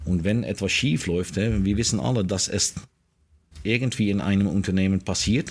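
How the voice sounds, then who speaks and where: A man with a fairly low pitch and ordinary pitch variation talks at a moderate pace with very even loudness. The recording is very clean, with a silent background. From Netherlands. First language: Dutch (speaking German). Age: 50s. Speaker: information security executive. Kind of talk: interview. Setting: outdoors in a garden. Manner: halting, many fillers.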